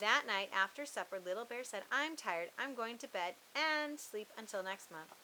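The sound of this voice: An unforced reading voice moves along with lively intonation.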